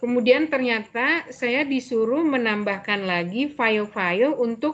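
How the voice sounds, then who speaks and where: In a normal speaking voice, the speaker keeps a moderate pace with ordinary pitch variation. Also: woman. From Tangerang Selatan, Indonesia; Indonesia. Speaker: moderator. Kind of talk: moderating webinar. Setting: video call. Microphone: video call.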